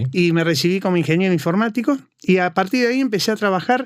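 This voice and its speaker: A man with a high pitch, lively intonation and an Argentine accent. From Argentina. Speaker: cybersecurity consultant. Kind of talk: interview.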